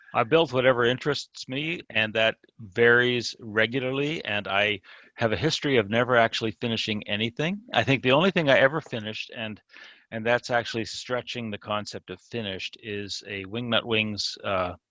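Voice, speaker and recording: With a bright, sharp tone, a man talks at a moderate pace and medium pitch, ordinary pitch variation, in a dry, close recording with no echo. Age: 60s. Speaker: scale model hobbyist. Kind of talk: casual interview chat. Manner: hesitant, repeats words.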